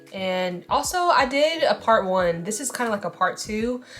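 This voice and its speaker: Over noticeable background noise comes a woman's fairly high voice. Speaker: beauty vlogger. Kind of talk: casual vlog talk. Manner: fast; animated.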